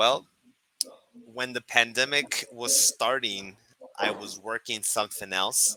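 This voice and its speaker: A man's bright, sharp voice with an American accent, very slow, with fairly even intonation and long, frequent pauses. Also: medium pitch for a man, dry, close sound with no echo. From Chicago, US. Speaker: online English teacher. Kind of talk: casual chat.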